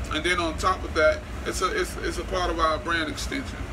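Noticeable background noise behind a man talking at a moderate speed. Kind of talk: casual vlog chat. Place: kitchen. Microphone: phone near.

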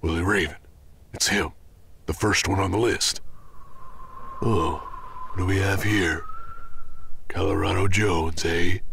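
Putting on a raspy character voice, a man speaks at a moderate pace and a fairly low pitch, with clear background noise.

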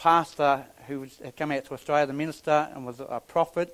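The intonation is fairly even. A man delivers it at a moderate pace. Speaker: preacher. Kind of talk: sermon. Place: church.

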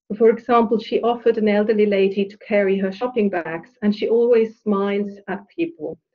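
Her voice is a normal speaking voice, medium in pitch, as the woman talks at a moderate pace with fairly even intonation. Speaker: professor and researcher. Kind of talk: academic seminar talk. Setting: video call.

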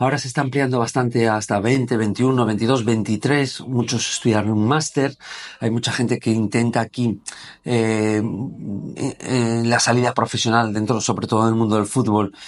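Fairly slow, flat monotone delivery. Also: man. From Gijón, Asturias, Spain; Asturias, Spain. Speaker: former footballer and sports business founder; interviewee. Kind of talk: casual interview. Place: meeting room. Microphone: lapel.

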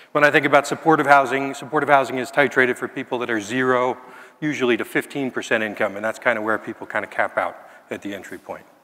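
Over a quiet background, a man of medium pitch talks at a very fast pace. His intonation is fairly even, though his loudness swings widely. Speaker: keynote speaker, housing and health nonprofit leader. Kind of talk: keynote speech. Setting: stage with audience. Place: hall. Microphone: headset.

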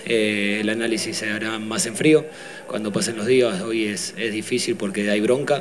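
A man at a fairly low pitch and fairly slow pace, over light background noise. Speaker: football team coach. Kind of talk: press conference answers. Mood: subdued, disappointed after defeat. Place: hall. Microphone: podium.

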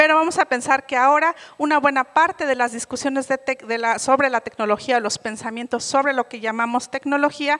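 A woman speaks at a fairly quick pace with hardly any pauses, her high voice bright and sharp in tone. Her intonation stays fairly even over a quiet background. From Oaxaca, Mexico. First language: Mixe (speaking Spanish). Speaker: conference speaker. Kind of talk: keynote lecture. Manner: many hesitations and self-corrections. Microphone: handheld.

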